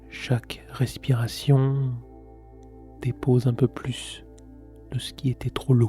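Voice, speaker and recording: Music plays in the background as a man talks. His pace is very slow, with long, frequent pauses. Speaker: meditation guide. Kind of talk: guided meditation. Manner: slow, soft-spoken.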